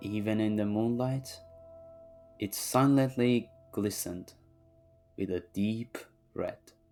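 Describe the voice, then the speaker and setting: Music plays in the background as a man with a non-native accent speaks at a very slow pace with long, frequent pauses. His pitch is fairly low and his intonation fairly even. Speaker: manga reviewer. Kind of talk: read story.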